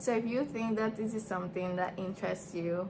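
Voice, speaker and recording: A woman speaks with a non-native accent and fairly even intonation, with audible room echo. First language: not English. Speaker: small business owner and vlogger. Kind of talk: casual vlog talk to camera. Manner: hesitant, filler-heavy.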